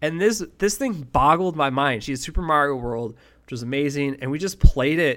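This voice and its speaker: An ordinary speaking voice from a man with an American accent, fairly high in pitch, lively in intonation, at a moderate pace, on a very clean recording with a silent background. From western New York (Buffalo area). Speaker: esports podcast host. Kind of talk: casual monologue.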